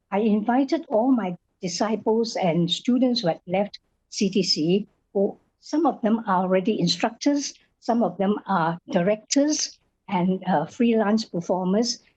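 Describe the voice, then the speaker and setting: At a fairly slow pace, a woman speaks in a medium pitch with a dark, mellow, somewhat breathy tone, lively intonation and very even loudness. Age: 80s+. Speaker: Chinese opera performer and teacher. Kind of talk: interview.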